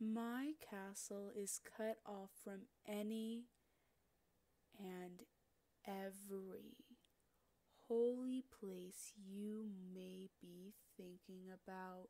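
In a put-on character voice at medium pitch, a woman speaks at a very slow pace with long, frequent pauses. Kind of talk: roleplay audio, yandere villain. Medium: audio drama. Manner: teasing, sweetly menacing, possessive.

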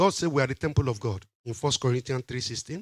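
A man talks at a medium pitch with lively intonation.

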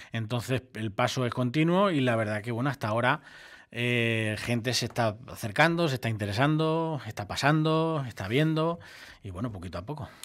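A man speaks at a moderate pace and medium pitch, with lively intonation against a quiet background. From Ciudad Real province, Spain; Spain. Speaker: furniture and mattress shop manager; mattress seller. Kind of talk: radio interview. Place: studio. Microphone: studio mic.

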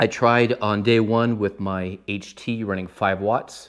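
A man speaks in a flat, monotone way at a fairly low pitch. The background is quiet. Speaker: ham radio hobbyist. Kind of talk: casual explainer vlog. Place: home room.

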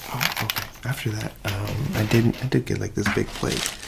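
Loud background noise runs under the recording. A man speaks at a fairly slow pace. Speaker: ASMR creator. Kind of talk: casual vlog chat. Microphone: studio mic.

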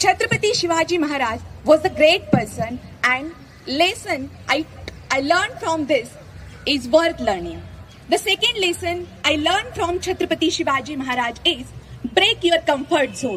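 A woman speaks at an extremely high pitch. Light background noise can be heard. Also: moderate pace. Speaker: speaker. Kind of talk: speech to students. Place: stage.

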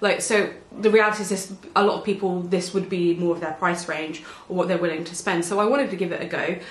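In an English accent, a woman speaks very fast with fairly even intonation, and audible room echo surrounds her voice. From England. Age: 20s. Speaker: beauty vlogger. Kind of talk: casual chat. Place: home room.

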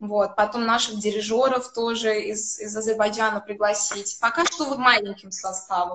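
With a bright, sharp tone, a woman speaks at a moderate pace and a fairly high pitch, her pitch varying in an ordinary way. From Azerbaijan. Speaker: classical violinist. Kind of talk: interview. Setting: video call. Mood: calm, friendly storytelling. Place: home room. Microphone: video call.

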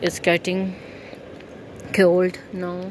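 Over faint background noise, the speaker goes at a very slow pace with monotone, flat intonation. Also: woman, fairly low pitch for a woman.

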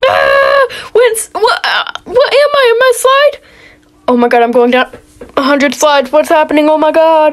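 Shouting at an extremely high pitch, a woman speaks at a moderate pace with very wide pitch swings and very even loudness, over noticeable background noise. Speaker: gaming youtuber. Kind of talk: gameplay commentary. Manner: animated, lots of screaming.

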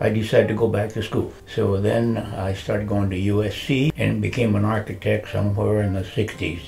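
Faint music runs in the background as a man with an American accent speaks at a fairly quick pace and a fairly low pitch. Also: fairly even intonation, hardly any pauses. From US West. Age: 80s+. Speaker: retired architect; interviewee. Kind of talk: interview. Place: home room. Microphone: lapel.

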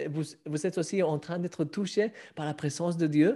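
A man speaks at a moderate pace in a high voice with a dark, mellow tone. His pitch varies in an ordinary way over a quiet background. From Spain. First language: Spanish (speaking French). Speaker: author and online show host; online show host. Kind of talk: casual interview. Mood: warm, moved. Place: home room. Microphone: webcam.

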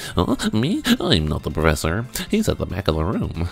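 Against clear background noise, a man talks at a moderate pace in a put-on character voice. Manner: nerdy, bookish.

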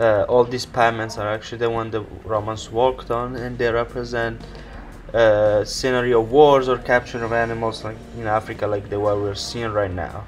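Music plays in the background. The speaker goes at a moderate pace in a monotone, flat delivery. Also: man, medium pitch for a man. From Italy. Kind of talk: travel vlog voiceover.

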